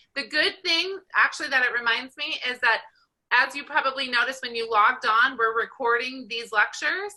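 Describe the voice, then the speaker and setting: Projecting her voice loudly at a fairly quick pace, a woman with an American accent speaks in a high pitch with a bright, sharp tone and ordinary pitch variation. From Southern California. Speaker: college statistics instructor. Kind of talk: online class lecture. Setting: video call. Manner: fast.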